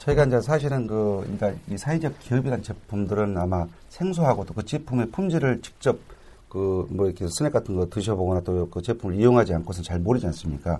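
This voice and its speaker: A man's dark, mellow voice sits at a fairly low pitch and sounds somewhat breathy. He talks at a very fast pace with lively intonation. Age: 40s. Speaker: social enterprise association head. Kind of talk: radio interview.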